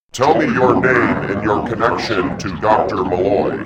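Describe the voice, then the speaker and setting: A man puts on a character voice, keeping a fairly low pitch and a moderate pace. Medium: machinima. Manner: terse, suspicious, commanding.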